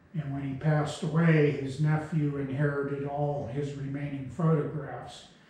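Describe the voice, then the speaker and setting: Audible room echo surrounds a man with a fairly high pitch. He speaks at a fairly slow pace in a monotone, flat way. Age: 70s. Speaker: railroad heritage preservationist. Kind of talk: interview talk.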